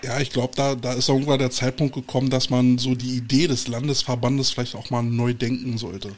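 The speech runs with hardly any pauses in a monotone, flat intonation. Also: man, medium pitch for a man, fairly quick pace. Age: 40s. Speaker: podcast host, football coach. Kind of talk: casual interview. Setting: livestream video call.

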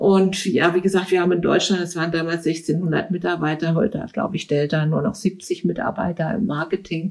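With a normal speaking voice, a woman talks at a fairly quick pace with fairly even intonation and hardly any pauses. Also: fairly low pitch for a woman. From Berlin. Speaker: recruiter. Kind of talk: interview. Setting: at home.

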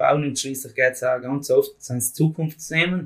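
Somewhat breathy, a man talks with fairly even intonation. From South Tyrol, Italy. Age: 20s. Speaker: farm youth organisation leader. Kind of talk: casual interview.

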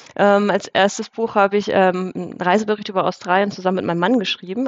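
Noticeable background noise sits under a woman talking very fast. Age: 30s. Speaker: finance author and coach. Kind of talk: casual interview.

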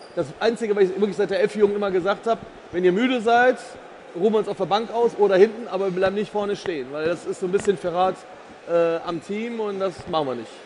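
Amid noticeable background noise, a man with a high voice talks at a very fast pace with fairly even intonation. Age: 50s. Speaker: insurance executive. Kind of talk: casual chat. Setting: stage at trade fair.

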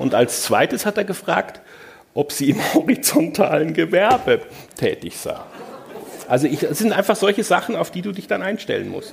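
With long and frequent pauses, a man speaks at a moderate pace over noticeable background noise. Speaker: journalist, moderator. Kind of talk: on-stage interview. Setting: stage with audience.

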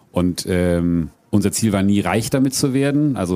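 His tone comes across dark and mellow. The speaker is a man. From Frankfurt area, Hesse. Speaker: adventurer and keynote speaker. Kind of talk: live podcast interview. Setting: outdoor event stage with audience.

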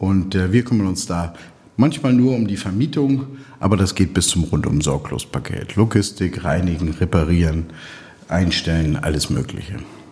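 Amid noticeable background noise, a man with a very deep, low pitch talks at a moderate pace with lively intonation. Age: 50s. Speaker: logistics company owner. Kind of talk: interview.

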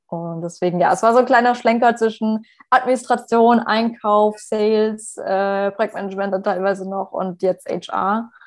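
A woman talks in an ordinary speaking voice. Her pace is moderate. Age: 20s. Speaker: HR manager and career coach. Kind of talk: podcast interview.

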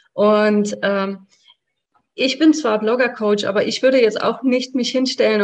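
This is an ordinary speaking voice at a fairly slow pace. The pitch varies in an ordinary way. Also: woman. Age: 40s. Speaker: blogging coach. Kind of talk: interview.

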